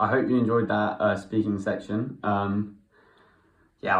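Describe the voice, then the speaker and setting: Audible room echo surrounds a man speaking with an English accent. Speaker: vlogger learning Spanish. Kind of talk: casual vlog; Spanish conversation practice. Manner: halting.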